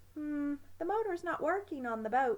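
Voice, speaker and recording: Putting on a character voice, a woman speaks at a high pitch and a moderate pace with very wide pitch swings. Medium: read story.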